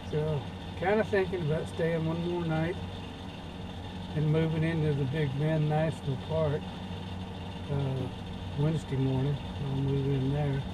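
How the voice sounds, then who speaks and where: Noticeable background noise sits behind a man who talks at a moderate pace, leaving long, frequent pauses. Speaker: traveler vlogger. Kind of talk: casual vlog chat. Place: car. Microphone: camera far.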